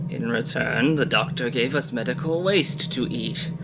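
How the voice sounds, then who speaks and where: A man puts on a raspy character voice at a fairly high pitch and a moderate pace. Loud background noise runs underneath. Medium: solo performance. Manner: formal, pleading.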